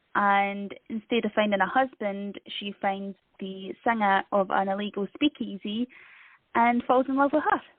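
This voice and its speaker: Speaking with a Scottish accent, a woman uses a medium pitch and ordinary pitch variation at a fairly slow pace. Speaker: author. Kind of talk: interview.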